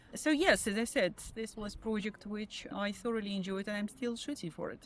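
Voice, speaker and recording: Her fairly high voice moves at a fairly quick pace with ordinary pitch variation. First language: not English. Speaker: photographer. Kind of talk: interview. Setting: outdoors.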